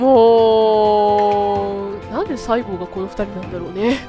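A woman is talking. Background music accompanies her. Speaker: let's play commentator. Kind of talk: casual game commentary.

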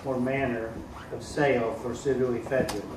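A man speaks in an American accent at a moderate pace, his intonation flat and monotone. Noticeable background noise and audible room echo fill the recording. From US Midwest. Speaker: city councilman. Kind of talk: reading aloud. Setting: public meeting. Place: meeting room. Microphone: podium.

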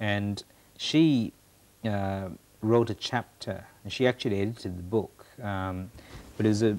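A man speaks at a low pitch with little pitch movement. His tone is slightly mellow.

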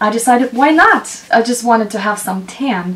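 At a fairly quick pace, a woman is talking. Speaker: beauty vlogger. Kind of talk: casual vlog chat. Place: home room.

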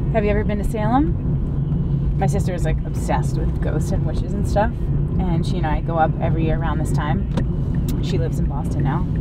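Loud background noise surrounds a woman speaking at a fairly quick pace. Her sound is dry, with no echo. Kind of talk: casual chat. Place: car.

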